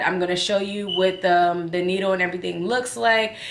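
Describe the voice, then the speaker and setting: A woman speaks at a moderate pace with a bright, sharp tone. Room echo is audible. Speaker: vlogger. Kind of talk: casual vlog chat.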